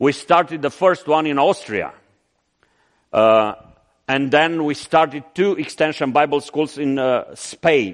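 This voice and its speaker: A man with a Romanian accent speaks very slowly in a fairly high voice with ordinary pitch variation. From Romania (Transylvania). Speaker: missionary. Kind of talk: sermon. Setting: church.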